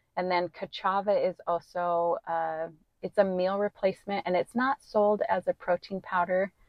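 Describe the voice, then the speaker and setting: Calm in tone, a woman with an American accent speaks at a moderate pace with fairly even intonation. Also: medium pitch for a woman. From US West, southwest Wyoming. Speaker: real estate appraiser and fitness coach. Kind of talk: casual interview chat.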